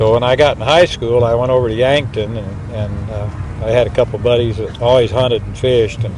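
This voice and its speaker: Someone with an American accent speaks at a fairly quick pace with fairly even intonation. Noticeable background noise runs underneath. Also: man, medium pitch for a man. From Nebraska, Missouri River area. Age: 70s. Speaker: interviewee. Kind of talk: interview storytelling.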